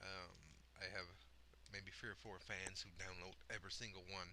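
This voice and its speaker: A man speaks at a moderate pace in a fairly low voice. His tone is bright and sharp. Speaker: gaming video creator. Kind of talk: casual solo podcast monologue. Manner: rambling, many fillers and hesitations.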